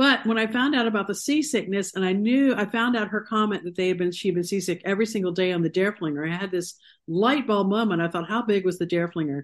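With an American accent, a woman talks at a very fast pace with hardly any pauses, her medium pitch moving in ordinary ways over a quiet background. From Ohio, US Midwest. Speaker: author. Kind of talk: interview.

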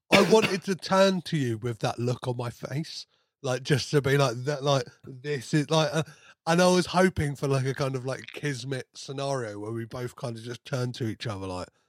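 In a very clean recording with a silent background, a man with a British accent speaks at a moderate pace in a dry, close sound with no echo. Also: medium pitch for a man, ordinary pitch variation. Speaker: podcast host. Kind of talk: casual chat. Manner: stutters at times.

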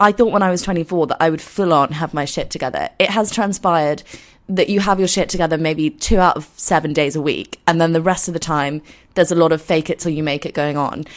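A croaky woman talks at a fairly quick pace with few pauses. Her pitch is low, with ordinary variation.

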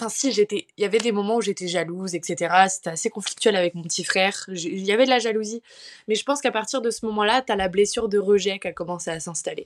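A woman speaks at a fairly quick pace in an unremarkable speaking voice, fairly high in pitch, with a dry, close sound and no echo. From France, Paris. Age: 20s. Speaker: student and mental health influencer. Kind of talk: personal testimony in casual interview.

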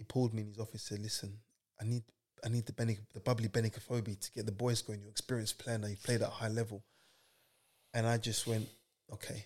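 The voice is somewhat breathy and monotone, with flat intonation. It runs at a very fast pace yet has long, frequent pauses. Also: man, medium pitch for a man. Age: 30s. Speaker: footballer. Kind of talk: casual chat.

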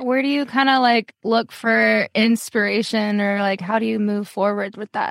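A woman talks in a plain, everyday voice, fairly high in pitch, at a moderate pace with hardly any pauses. The sound is dry and close with no echo. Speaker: podcast host and interviewer. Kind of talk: casual interview.

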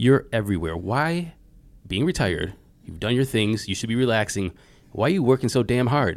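Over a very clean recording with a silent background, a man with an American accent talks fairly quickly in a plain, everyday voice with lively intonation. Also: medium pitch for a man. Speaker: podcast host. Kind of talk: interview conversation.

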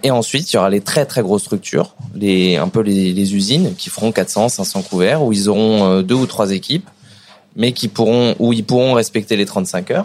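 A man with a normal speaking voice talks at a moderate pace. His pitch sits fairly low, and his intonation is lively. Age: young. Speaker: chef, restaurant owner. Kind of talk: casual interview. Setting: in a restaurant.

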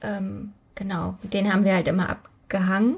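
Somewhat breathy delivery from a woman, paced moderately. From Germany, Übach-Palenberg near Aachen. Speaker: true crime podcaster. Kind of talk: casual storytelling chat.

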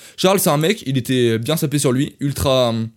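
Over a silent background on a very clean recording, a man speaks at a moderate pace with ordinary pitch variation. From France. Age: 20s. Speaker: podcaster. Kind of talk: casual storytelling monologue. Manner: animated.

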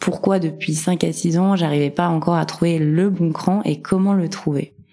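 A woman speaks at a fairly slow pace in a very deep, low voice, her tone dark and mellow and her intonation fairly even. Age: 30s. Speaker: career changer sharing her story. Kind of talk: interview testimony.

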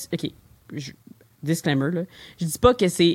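A woman with a Quebec accent, fairly low in pitch, with ordinary pitch variation at a moderate pace. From Quebec, Longueuil. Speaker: brewery and convenience store co-owner. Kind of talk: interview conversation.

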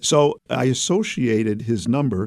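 In a Brooklyn accent, a man speaks with a dark, mellow tone and ordinary pitch variation, on a very clean recording with a silent background. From US Northeast, Brooklyn, New York City. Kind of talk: interview. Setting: studio.

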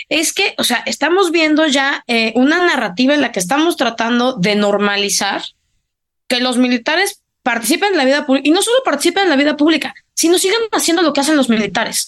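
Speaking at a fairly quick pace, a woman uses a high pitch with very wide pitch swings while her loudness stays very even. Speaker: political analyst. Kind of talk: casual political discussion.

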